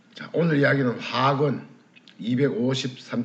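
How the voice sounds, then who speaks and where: A man talks at a medium pitch with audible room echo. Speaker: alternative medicine lecturer. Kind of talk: lecture.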